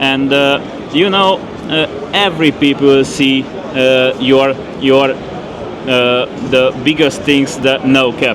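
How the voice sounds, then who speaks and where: Pausing long and often, a man speaks very slowly at very even loudness over noticeable background noise. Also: medium pitch for a man, fairly even intonation. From Hungary. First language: Hungarian. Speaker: podcast host. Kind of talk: interview. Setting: tobacco trade fair. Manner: halting.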